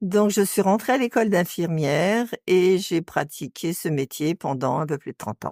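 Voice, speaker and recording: The speech moves at a fairly slow pace with very wide pitch swings, in a dry, close sound with no echo. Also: woman, very clean recording, silent background. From western France, Nantes area. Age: 60s. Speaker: retired nurse. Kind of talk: interview.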